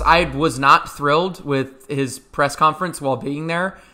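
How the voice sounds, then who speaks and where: A man's voice with a bright, sharp tone. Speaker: basketball podcast host. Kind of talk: casual chat. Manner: loud.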